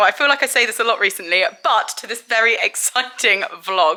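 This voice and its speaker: A woman with an English accent speaks in a raised, projected voice at a moderate pace. Noticeable background noise can be heard. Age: 20s. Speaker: equestrian vlogger. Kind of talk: vlog. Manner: animated.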